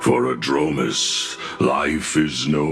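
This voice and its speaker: A man performs a cartoonish character voice. Clear music plays in the background. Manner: solemn, grandiose.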